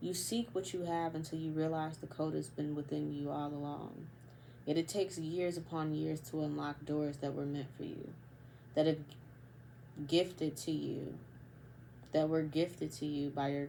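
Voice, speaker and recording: A woman's very deep, low-pitched voice with a dark, mellow tone, fairly even intonation, and long, frequent pauses. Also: moderate pace. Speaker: vlogger. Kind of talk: casual monologue. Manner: halting, pauses often.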